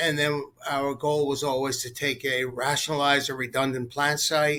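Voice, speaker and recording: At a moderate pace, a man with a normal speaking voice and fairly high pitch talks in an American accent. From US Northeast, New York City. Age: 60s. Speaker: company executive. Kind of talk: interview.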